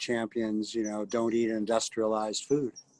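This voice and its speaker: A man with a normal speaking voice talks at a moderate pace and a medium pitch. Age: 60s. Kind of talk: casual chat.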